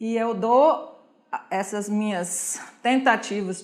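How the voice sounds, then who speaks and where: A woman's fairly high voice moves up and down in pitch in an ordinary way. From Switzerland, Zurich. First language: Swiss German (speaking Portuguese). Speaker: German teacher and honorary consul. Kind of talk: interview.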